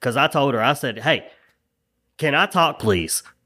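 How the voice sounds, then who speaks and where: A man's medium-pitched voice, bright and sharp in tone, with an American accent and lively intonation, in a very clean recording with a silent background. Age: 30s. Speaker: auto mechanic. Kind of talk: casual chat.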